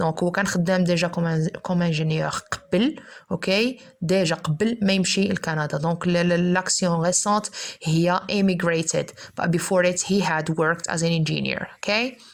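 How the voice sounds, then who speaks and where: A woman speaks at a fairly low pitch with very even loudness and fairly even intonation, over noticeable background noise. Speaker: English teacher. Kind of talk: lecture. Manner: fast.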